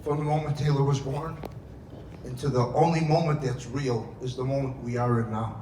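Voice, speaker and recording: A medium-pitched man at a moderate pace, fairly even in intonation, with audible room echo. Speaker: father of the bride. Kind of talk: wedding speech. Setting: wedding reception with audience. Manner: loud; emotional, near tears.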